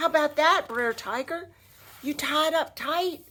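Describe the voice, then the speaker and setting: A woman uses a put-on character voice. Her pitch is high. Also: fairly slow pace. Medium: read story. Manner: sly, folksy.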